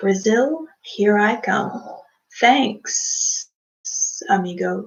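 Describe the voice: In a put-on character voice, a woman speaks very slowly, her fairly high tone raspy and hissing.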